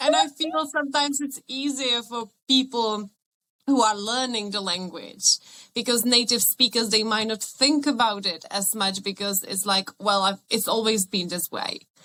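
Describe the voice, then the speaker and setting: A woman speaks with a Czech accent. Her tone is bright and sharp. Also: fairly high pitch for a woman, ordinary pitch variation, moderate pace. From Czech Republic. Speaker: podcast guest. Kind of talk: casual podcast conversation.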